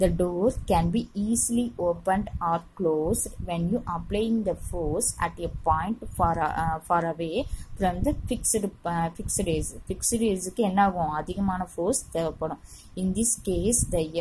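A normal speaking voice from a woman, medium in pitch with ordinary pitch variation. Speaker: teacher. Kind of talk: lecture.

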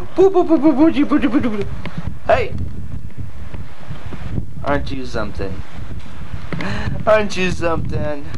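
A man's voice over noticeable background noise. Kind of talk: casual home video narration. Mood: wry, warm despite hardship. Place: open country. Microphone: old recording.

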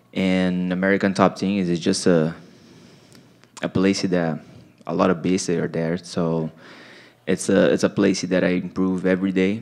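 A monotone, flat delivery in a Portuguese accent at a moderate pace, broken by long, frequent pauses. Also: man, very deep, low pitch for a man. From Brazil. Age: 30s. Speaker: mixed martial arts fighter. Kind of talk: post-fight press interview. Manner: halting, many fillers and repeats. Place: meeting room. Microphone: handheld.

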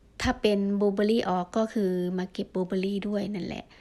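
The intonation stays monotone and flat throughout a very clean recording with a silent background. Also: woman. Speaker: vlogger foraging mushrooms. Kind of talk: casual vlog narration. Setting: outdoors in a forest. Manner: halting.

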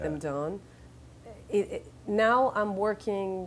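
A woman with a Venezuelan accent over light background noise. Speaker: actress and model. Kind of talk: interview answer. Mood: thoughtful, reflective. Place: studio. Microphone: lapel.

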